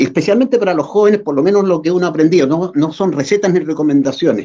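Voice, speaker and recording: Very fast delivery in a dark, mellow tone with ordinary pitch variation. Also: man. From Chile. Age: 70s. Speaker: muralist artist. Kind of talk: interview. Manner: halting, with repetitions and fillers.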